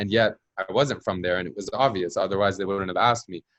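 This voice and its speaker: A man with a normal speaking voice and a fairly low pitch is heard in a dry, close sound with no echo. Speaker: journalist. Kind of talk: interview. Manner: casual with many fillers.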